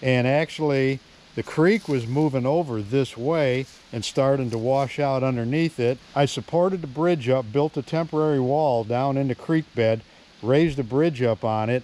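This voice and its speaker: Spoken at a moderate pace with ordinary pitch variation, the voice sounds dry, with no echo. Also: man. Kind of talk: casual vlog chat. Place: forest. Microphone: phone near.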